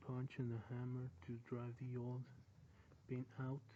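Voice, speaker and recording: Speaking very slowly with a non-native accent, a man has a dark, mellow, somewhat breathy tone and monotone, flat intonation. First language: not English. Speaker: car DIY hobbyist. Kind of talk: casual how-to explanation to camera.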